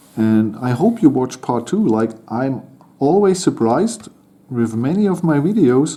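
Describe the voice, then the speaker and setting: In a German accent, a dark, mellow voice moves at a very slow pace with lively intonation. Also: man. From Germany. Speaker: toy model building channel host. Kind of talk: building tutorial commentary. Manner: halting.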